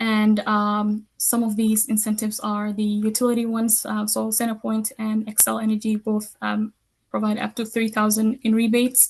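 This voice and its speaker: Her voice is fairly high-pitched and somewhat breathy, with a monotone, flat intonation. The woman is heard against a quiet background. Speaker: community program coordinator. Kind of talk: webinar presentation. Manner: fast.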